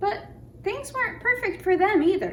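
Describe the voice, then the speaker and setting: Over clear background noise, a woman does a squeaky put-on character voice at an extremely high pitch, with a gentle tone and a moderate pace. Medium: read story. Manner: gentle, thoughtful.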